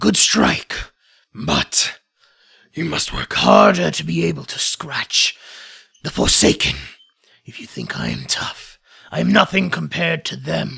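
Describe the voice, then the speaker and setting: A man uses a put-on character voice, raspy and gravelly, at a very deep, low pitch. He goes at a fairly slow pace with long, frequent pauses. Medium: actual play. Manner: stern, commanding.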